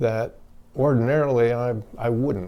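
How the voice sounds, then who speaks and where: Very slowly, a man speaks with an American accent. His tone is dark and mellow, at a medium pitch. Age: 70s. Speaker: army veteran. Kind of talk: testimony. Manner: halting.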